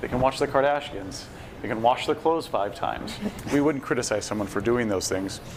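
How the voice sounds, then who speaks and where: A man with an American accent talks at a fairly quick pace over noticeable background noise. His pitch is medium, with ordinary variation. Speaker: bitcoin industry executive. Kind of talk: casual chat. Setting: live stream at a festival.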